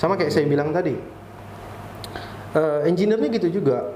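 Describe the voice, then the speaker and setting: Talking very fast with lively intonation, a man uses a high pitch. Room echo is audible and background noise is noticeable. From Riau Islands, Indonesia. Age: 30s. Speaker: structural engineer. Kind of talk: podcast interview.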